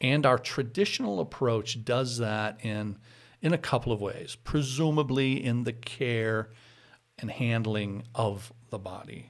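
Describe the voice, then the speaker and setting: Fairly slow speech from a man on a very clean recording with a silent background. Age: 50s. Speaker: pastor. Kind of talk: casual chat. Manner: halting.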